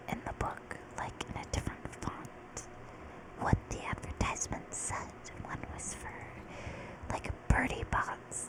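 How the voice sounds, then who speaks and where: Very slowly, a woman whispers while noticeable noise sounds in the background. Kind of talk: casual talk to camera. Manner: whispered.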